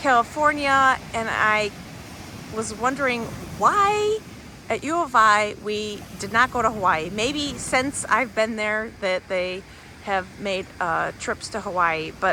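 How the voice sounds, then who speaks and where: Noticeable background noise sits behind a woman speaking very slowly in a fairly high voice with ordinary pitch variation. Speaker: commercial real estate professional. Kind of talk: travel vlog narration. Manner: calm, soft-spoken.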